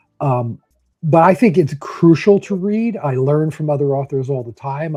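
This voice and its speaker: A man's somewhat breathy, dark and mellow voice with a New Jersey accent, at a moderate pace, in a dry, close sound with no echo. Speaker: author. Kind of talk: interview.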